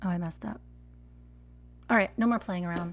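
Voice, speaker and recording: A woman speaks at medium pitch with an American accent. Her voice is somewhat breathy. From Texas. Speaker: barista and latte art coach. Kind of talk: live stream tutorial critique. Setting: live stream. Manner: casual, chatty.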